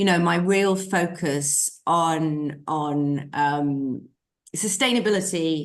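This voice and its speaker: At a very slow pace, a woman with a British accent speaks in a fairly low pitch. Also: ordinary pitch variation. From UK. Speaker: sustainable finance consultant. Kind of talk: interview. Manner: halting.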